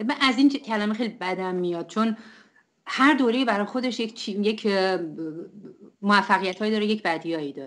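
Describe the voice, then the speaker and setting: A woman with a fairly high pitch and ordinary pitch variation talks at a fairly quick pace, leaving long, frequent pauses. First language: Turkish (Azerbaijani) (speaking Persian). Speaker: poet. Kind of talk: interview.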